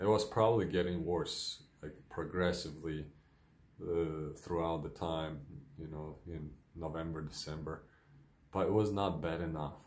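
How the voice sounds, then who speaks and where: Heard with audible room echo, a man with a very deep, low voice and a Ukrainian accent speaks at a moderate pace with fairly even intonation and big swings in loudness. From Ukraine. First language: Ukrainian or Russian. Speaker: vlogger with multiple sclerosis. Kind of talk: personal video diary. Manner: hesitant, many fillers.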